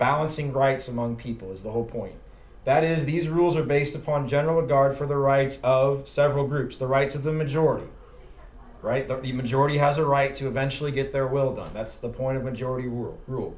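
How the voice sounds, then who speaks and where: A man talks at a very fast pace, his voice somewhat breathy and fairly high for a man, his intonation fairly even, with audible room echo around him. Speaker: party bylaws committee chair and parliamentarian trainer. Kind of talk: training lecture.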